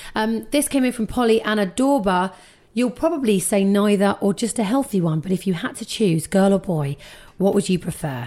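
A woman with a dark, mellow tone and a medium pitch speaks at a moderate pace with lively intonation on a very clean recording with a silent background. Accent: British. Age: 30s. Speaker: podcast host. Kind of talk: casual chat.

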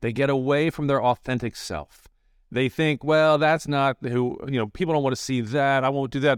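On a very clean recording with a silent background and a dry, close sound with no echo, a man with an American accent and a normal speaking voice talks at a moderate pace in a fairly high pitch with fairly even intonation. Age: 60s. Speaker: communication coach and former TV broadcaster. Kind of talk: podcast interview.

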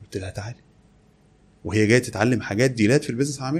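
The speaker is a man with a somewhat breathy voice. He talks very fast. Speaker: e-commerce entrepreneur. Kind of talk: interview.

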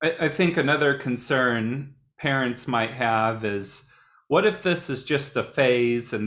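With an American accent, a man speaks at a very slow pace in a medium pitch, using ordinary pitch variation and a bright, sharp tone. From Indiana, US. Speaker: podcast host, youth worker. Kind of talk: interview.

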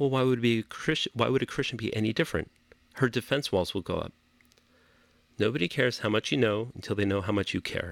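A man with a Californian accent talks at a very fast pace and a medium pitch, in a very clean recording with a silent background and a dry, close sound with no echo. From Los Angeles. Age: 40s. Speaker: rabbi. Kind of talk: interview. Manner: laid back.

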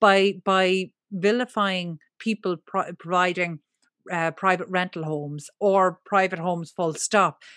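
A woman with an Irish accent at a fairly slow pace, fairly even in intonation, in a dry, close sound with no echo against a quiet background. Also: medium pitch for a woman. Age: 40s. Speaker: property media entrepreneur. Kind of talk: interview conversation.

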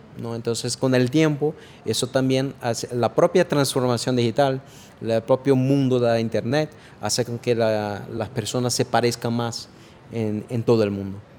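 Man in a Brazilian accent, medium pitch, fairly even intonation, moderate pace. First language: Portuguese (speaking Spanish). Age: 40s. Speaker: artificial intelligence expert. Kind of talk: interview. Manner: halting, many fillers and repetitions.

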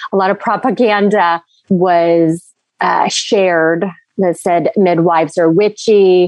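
This woman talks very slowly at a medium pitch, her intonation fairly even. Her loudness stays very even throughout. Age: 40s. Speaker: well-being doula. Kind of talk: casual interview chat.

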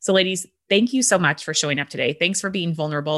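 Bright, sharp female voice with fairly even intonation, dry and close with no echo, over a quiet background. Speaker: business coach. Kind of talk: podcast coaching conversation. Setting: group coaching call recording.

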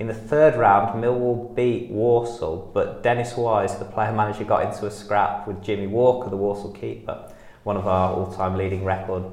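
Against noticeable background noise, a man speaks at a moderate pace with hardly any pauses, a fairly low pitch and fairly even intonation. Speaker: football fan and writer. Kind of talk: casual interview chat.

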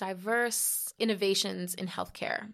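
A woman's medium-pitched voice with a New York accent. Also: very clean recording, silent background. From New York City, the Bronx. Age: 30s. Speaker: health tech founder. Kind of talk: podcast interview.

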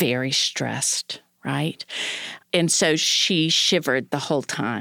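A woman with an American accent at a fairly slow pace, in a dry, close sound with no echo. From North Carolina. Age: 50s. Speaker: family law attorney and podcast host. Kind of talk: casual chat.

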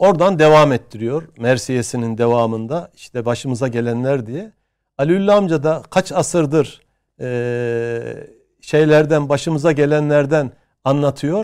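A man's fairly high-pitched voice at a fairly slow pace, with ordinary pitch variation. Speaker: history professor. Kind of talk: interview. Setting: studio. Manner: hesitant, many filler sounds.

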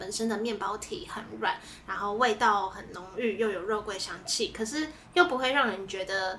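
A woman speaks with lively intonation at a moderate pace. Noticeable background noise runs behind her. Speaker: food podcast co-host. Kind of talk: casual chat. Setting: in-person recording together.

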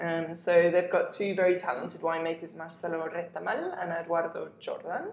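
A woman with a southern English accent talks at a fairly quick pace with hardly any pauses, amid noticeable background noise and audible room echo. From southern England, Hampshire. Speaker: wine journalist. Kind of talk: casual chat.

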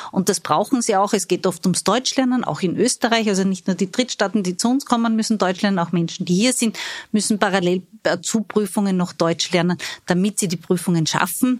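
Her voice is a plain, everyday voice, a woman at medium pitch with ordinary pitch variation, a fairly quick pace and very even loudness. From Austria, Styria (Judenburg). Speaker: labour market agency executive. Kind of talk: interview.

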